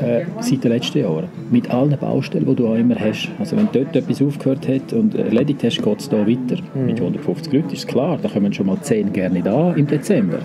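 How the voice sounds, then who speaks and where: Against noticeable background noise, a man with a Swiss accent talks at a fairly quick pace and a medium pitch, with very wide pitch swings. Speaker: hotel director. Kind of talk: interview answer.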